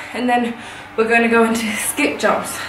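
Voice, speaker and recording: At a moderate pace, a woman speaks with audible room echo and light background noise. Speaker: fitness vlogger. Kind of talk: workout tutorial chat. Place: home room. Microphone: camera far.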